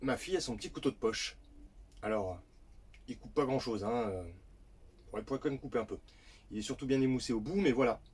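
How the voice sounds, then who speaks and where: A man talks at a very fast pace with lively intonation, broken by long, frequent pauses. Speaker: parenting vlogger. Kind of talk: casual vlog advice. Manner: stumbling.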